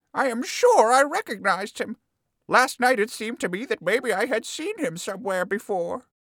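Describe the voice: This put-on character voice has a fairly high pitch and moves at a moderate pace.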